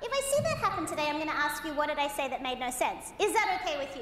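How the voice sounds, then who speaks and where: A woman's voice has a bright, sharp tone and very wide pitch swings. Audible room echo surrounds it. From Australia. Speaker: motivational keynote speaker. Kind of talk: keynote presentation. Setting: stage with audience. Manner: animated.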